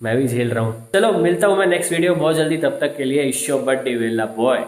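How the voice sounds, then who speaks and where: Audible room echo hangs on the recording. The speaker is a man. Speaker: vlogger. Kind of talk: casual vlog chat. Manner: animated.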